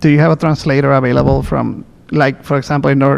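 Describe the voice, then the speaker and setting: A man speaks in a Spanish accent at a fairly quick pace. His pitch sits at a medium level, with fairly even intonation. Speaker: public commenter. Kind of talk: public comment at meeting. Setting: public board meeting. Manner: halting.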